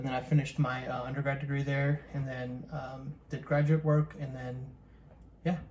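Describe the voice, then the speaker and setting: Spoken with a Chicago accent, the voice stays monotone and flat in intonation. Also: man, fairly high pitch for a man, moderate pace. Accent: Chicago American English. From US Midwest, Chicago area. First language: Telugu. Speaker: vlogger, co-host with his wife. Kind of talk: casual chat. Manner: halting, many fillers.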